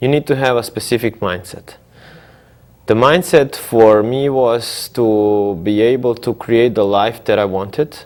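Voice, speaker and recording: A man with a Croatian accent, medium pitch, ordinary pitch variation and a fairly slow pace. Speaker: entrepreneur. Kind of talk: TV interview. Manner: halting, many fillers.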